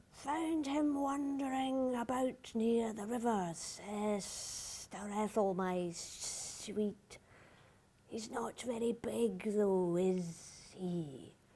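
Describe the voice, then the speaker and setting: Hissing her way through a put-on character voice, a woman speaks very slowly at a fairly high pitch. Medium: read story.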